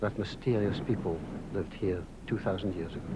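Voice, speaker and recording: Somewhat breathy and dark, mellow in tone, a man speaks at a fairly low pitch and moderate pace with fairly even intonation. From Scotland, Angus (Edzell, Montrose). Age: 70s. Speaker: documentary presenter, writer and former broadcaster. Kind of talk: scripted narration. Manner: measured.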